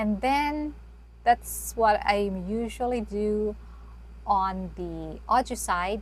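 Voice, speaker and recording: A woman speaks softly, with audible room echo around her voice. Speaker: YouTuber teaching video creation. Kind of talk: tutorial. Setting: live stream with screen share. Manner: soft-spoken; unscripted, halting.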